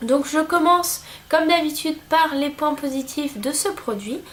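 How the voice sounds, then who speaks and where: High-pitched, a woman speaks at a fairly slow pace. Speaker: beauty vlogger. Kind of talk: product review. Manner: hesitant, many fillers.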